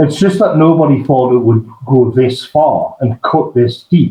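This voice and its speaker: Ordinary pitch variation marks this somewhat breathy voice. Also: man. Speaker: online political commentator and writer. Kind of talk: interview conversation. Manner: halting, many fillers and restarts.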